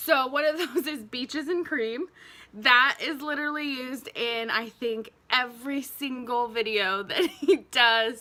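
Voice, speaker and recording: A woman's raised, projected voice, high-pitched with a bright, sharp tone, ordinary pitch variation and a fairly slow pace. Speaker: beauty YouTuber. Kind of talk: makeup review and tutorial. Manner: casual, chatty with fillers.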